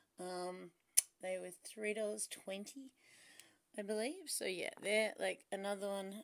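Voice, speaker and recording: A woman with an Australian accent at a fairly slow pace, ordinary pitch variation and long, frequent pauses, over a quiet background. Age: 40s. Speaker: beauty vlogger; beauty haul vlogger. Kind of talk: product review vlog; casual vlog chat. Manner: casual, chatty with fillers. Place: home room. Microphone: phone near.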